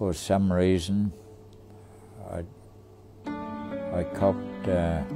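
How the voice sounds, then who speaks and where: Over clear music in the background, a man with an Australian accent talks in a very deep, low voice at a very slow pace, with ordinary pitch variation and long, frequent pauses. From Tasmania, Australia. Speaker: war veteran. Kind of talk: interview answer. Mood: somber, reflective. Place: home room.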